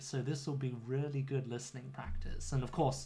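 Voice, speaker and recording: Audible room echo surrounds a man's medium-pitched voice with a British accent. His tone is dark and mellow, and somewhat breathy. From UK. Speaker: English teacher. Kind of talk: livestream lesson chat. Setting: home studio livestream. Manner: clear teacher voice.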